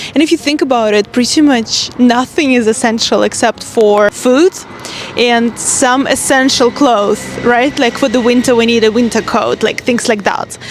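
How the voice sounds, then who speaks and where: A woman with a high pitch talks at a moderate pace with very even loudness. Noticeable background noise runs under her voice. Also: ordinary pitch variation. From Russia. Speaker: life coach. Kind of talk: vlog-style monologue. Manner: casual, conversational.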